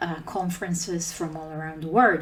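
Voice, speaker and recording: There is audible room echo in the clip. The speaker is a woman. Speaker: conference speaker, open source team lead. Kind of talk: conference talk.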